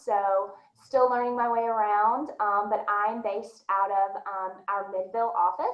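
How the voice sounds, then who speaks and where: This woman's voice sits at a medium pitch. She talks at a moderate pace with a slight Southern US accent. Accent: slight Southern American. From US South, Nashville, Tennessee. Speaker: recruiting manager. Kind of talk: panel discussion.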